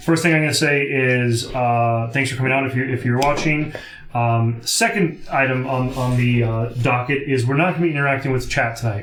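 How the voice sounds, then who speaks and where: A man mumbling at medium pitch and a moderate pace, fairly even in intonation and very even in loudness, with audible room echo and music in the background. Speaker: streamer hosting tabletop game night. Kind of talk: casual chat.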